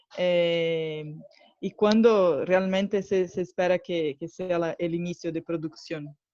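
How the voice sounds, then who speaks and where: With a Brazilian accent, a woman speaks at a fairly slow pace and fairly low pitch, her intonation fairly even in a dry, close sound with no echo. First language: Portuguese (speaking Spanish). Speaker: market analyst asking questions. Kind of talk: audience question.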